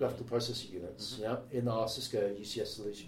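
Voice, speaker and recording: A man speaks in a somewhat breathy voice. Audible room echo surrounds it. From Wales. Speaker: tech company specialist. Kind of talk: casual chat.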